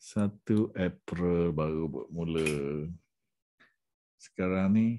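Very slow in pace, a man talks in a very deep, low pitch with a dark, mellow tone and fairly even intonation over a quiet background. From Malaysia. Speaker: education sales consultant. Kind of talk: sales pitch. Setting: screen-share presentation. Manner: casual, with fillers. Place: home room. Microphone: webcam.

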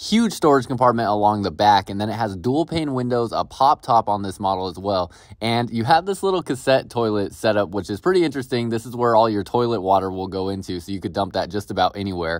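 A man with a fairly low pitch talks at a very fast pace, using ordinary pitch variation. The sound is dry with no echo, over a quiet background. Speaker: RV salesperson giving a tour. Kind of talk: product tour commentary. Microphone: phone near.

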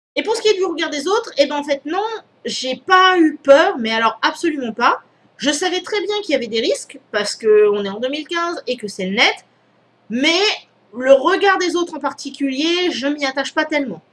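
A woman speaks in a high pitch with very wide pitch swings at a moderate pace. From Réunion. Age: 30s. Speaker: YouTuber. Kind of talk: vlog Q&A. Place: home room. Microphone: headset.

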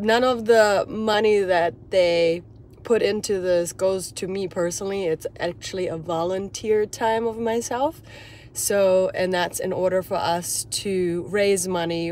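At a fairly slow pace, a woman speaks with ordinary pitch variation, the sound dry with no echo and light background noise behind her. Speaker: hiking vlogger, dance teacher. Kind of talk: casual vlog chat. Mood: cheerful, excited. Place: car. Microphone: phone near.

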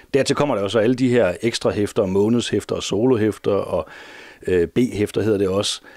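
A man talks at a moderate pace with fairly even intonation and very even loudness. The sound is dry with no echo, and the background is quiet. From Denmark. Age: 40s. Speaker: teacher and comics collector; comic collector. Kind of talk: interview; interview answer. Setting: at home. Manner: halting. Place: home room.

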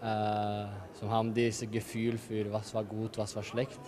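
Over noticeable background noise, a man talks at a very slow pace. His voice is fairly low and monotone, with flat intonation. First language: not German (speaking German). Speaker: handball player. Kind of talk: interview. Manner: halting. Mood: calm, satisfied after win. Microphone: handheld.

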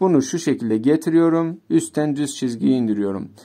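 Here a man's dark, mellow tone sits at a fairly high pitch. His intonation is lively against a quiet background. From Turkey. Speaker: Arabic teacher. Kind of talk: tutorial. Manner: slow. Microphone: phone near.

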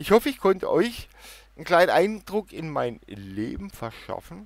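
A man with a high pitch at a moderate pace, dry sound with no echo, quiet background. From Germany, Baden. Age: middle-aged. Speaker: YouTuber. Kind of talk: casual Q&A vlog. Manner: animated.

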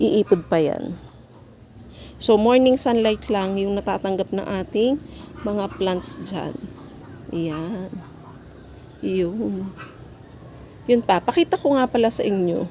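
This woman talks at a very slow pace, leaving long, frequent pauses. Her pitch is medium, with ordinary variation. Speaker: gardening vlogger. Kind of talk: casual vlog tutorial. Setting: home garden.

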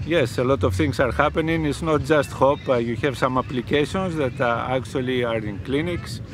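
A man's medium-pitched voice at a moderate pace with hardly any pauses, dry and echo-free, over noticeable background noise. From Greece. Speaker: professor and medical researcher; professor. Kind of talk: interview. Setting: outdoors. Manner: halting, many fillers. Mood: relaxed, explanatory. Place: beach. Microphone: phone near.

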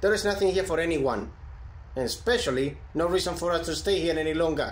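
A man races along at a very fast pace in a gruff, put-on character voice over clear background noise. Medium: machinima. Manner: gruff, annoyed.

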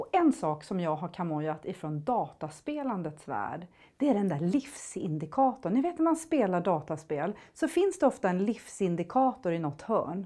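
Against a quiet background, a woman with a dark, mellow tone talks at a moderate pace and medium pitch, her voice moving in very wide pitch swings. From grew up in Thailand, Swedish family. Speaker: motivational speaker. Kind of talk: motivational talk. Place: studio.

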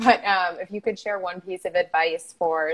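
In an American accent, a woman talks at a moderate pace with a cheerful tone and fairly even intonation. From United States. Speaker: online show host and entrepreneur; online show host. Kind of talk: casual interview chat. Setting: live video call stream. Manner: cheerful, laughs often. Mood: friendly, cheerful. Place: home room. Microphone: earbuds.

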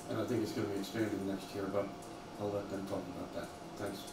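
Clear background noise surrounds a man speaking at a fast pace. His voice is fairly low in pitch, with little pitch movement and vocal fry.

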